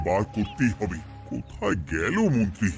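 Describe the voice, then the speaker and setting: A man puts on a cartoonish character voice. Clear music plays in the background. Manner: excitable, dramatic.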